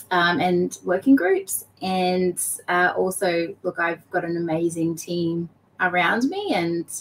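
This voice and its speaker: Over noticeable background noise, the speaker talks at a very slow pace with an Australian accent and fairly even intonation. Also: woman, fairly low pitch for a woman. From Queensland, Australia. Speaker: blockchain association operations executive. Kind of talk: interview.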